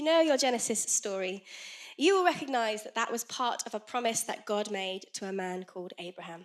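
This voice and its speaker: The voice has a bright, sharp tone and very wide pitch swings on a very clean recording with a silent background. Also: woman. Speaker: children's ministry leader and preacher. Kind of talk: sermon. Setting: church. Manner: fast; animated.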